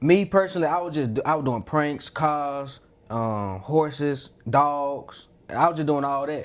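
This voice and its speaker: Against a quiet background, a man with a Southern US accent speaks at a fairly slow pace in a fairly high pitch. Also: ordinary pitch variation. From Mississippi, USA. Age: 20s. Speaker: YouTuber, content creator. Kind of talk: interview answer.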